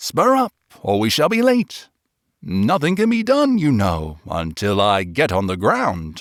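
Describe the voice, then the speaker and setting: A man speaks in a put-on character voice at a medium pitch and a fairly slow pace. The recording is very clean, with a silent background. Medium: read story. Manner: solemn.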